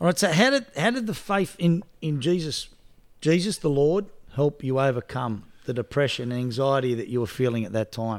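At a moderate pace, a man with an Australian accent speaks in a fairly high pitch. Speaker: podcast host. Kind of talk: casual interview chat.

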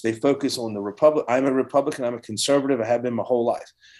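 A man with a Southern US accent speaks very fast at a medium pitch. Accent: Southern US (Georgia). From US South. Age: 40s. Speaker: coffee company hunting community manager. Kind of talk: casual chat.

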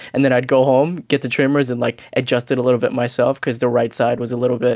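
At a fairly quick pace, a man talks in an unremarkable speaking voice with a medium pitch. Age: 20s. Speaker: podcast co-host. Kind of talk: casual chat.

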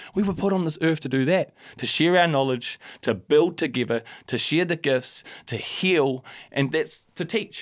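With a New Zealand accent, a man talks at a moderate pace in a fairly high pitch with ordinary pitch variation, on a very clean recording with a silent background. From New Zealand, Christchurch. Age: 30s. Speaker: hip-hop artist. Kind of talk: casual chat. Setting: studio.

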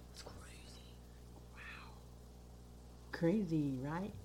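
A woman with an American accent is heard in a space with audible room echo. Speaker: podcast co-host. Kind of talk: casual chat.

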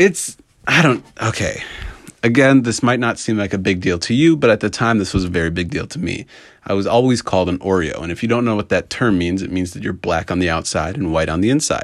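This man has a normal speaking voice with a fairly low pitch. He talks at a fairly quick pace with lively intonation. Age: 20s. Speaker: podcaster. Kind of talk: casual monologue.

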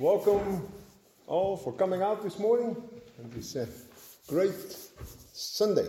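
A man with a high pitch talks at a fairly slow pace. Audible room echo surrounds his voice. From Netherlands. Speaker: pastor. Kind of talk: sermon.

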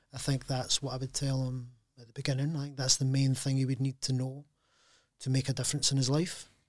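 A man talks very fast at a medium pitch in a monotone, flat, somewhat breathy voice with big swings in loudness. The recording is very clean, with a silent background. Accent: Glaswegian. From Scotland, Glasgow. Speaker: packaging entrepreneur. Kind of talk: casual interview. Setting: studio.

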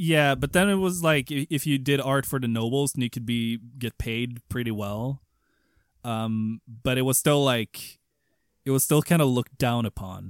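This man has a Swedish accent and a medium pitch, talking at a moderate pace with ordinary pitch variation. The sound is dry and close with no echo, in a very clean recording with a silent background. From Sweden. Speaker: podcast host. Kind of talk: casual chat.

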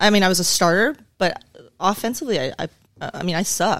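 A woman talks at a fairly quick pace with an American accent. Her intonation is lively. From Southern California. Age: 40s. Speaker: police sergeant. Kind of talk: casual interview. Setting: studio.

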